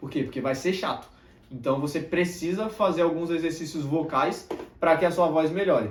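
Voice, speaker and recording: A soft-spoken man at a moderate pace, with noticeable background noise and audible room echo. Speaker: self-improvement youtuber and mentor. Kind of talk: motivational talk to camera. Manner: tends to speak softly.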